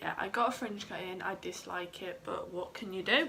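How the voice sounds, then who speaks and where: A woman with a Southeast English accent, medium in pitch, at a moderate pace with fairly even intonation, over noticeable background noise. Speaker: mum vlogger. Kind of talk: casual talk to camera.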